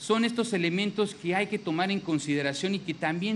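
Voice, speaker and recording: This man has a Mexican accent and a high pitch. He talks at a fairly quick pace over light background noise. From Mexico. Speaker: government minister. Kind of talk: public speech. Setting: public event with audience. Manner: formal. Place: hall. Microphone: podium.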